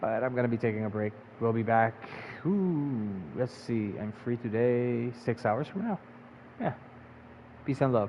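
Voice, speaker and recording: Fairly slow speech from a man at medium pitch, with ordinary pitch variation, long and frequent pauses, and noticeable background noise. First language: not English. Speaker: gaming streamer. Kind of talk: live gameplay commentary. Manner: casual, informal.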